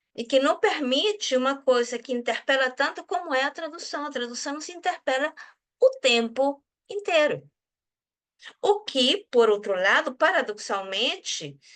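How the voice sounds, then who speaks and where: Speaking fairly slowly with a Spanish accent, a high-pitched woman swings widely in pitch and shifts sharply in loudness. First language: Spanish (speaking Portuguese). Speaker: research group leader and translator. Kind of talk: casual conversation. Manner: halting.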